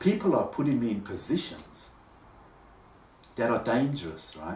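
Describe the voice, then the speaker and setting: A man with an Australian accent, medium pitch, very wide pitch swings and vocal fry, at a moderate pace amid audible room echo. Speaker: vlogger. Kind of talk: personal monologue. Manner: halting.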